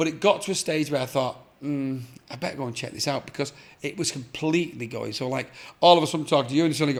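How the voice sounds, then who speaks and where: Fairly high-pitched, a man speaks very fast with an English accent. The recording is very clean, with a silent background. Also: ordinary pitch variation. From England, of Irish parents. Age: 60s. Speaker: artist. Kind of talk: casual chat.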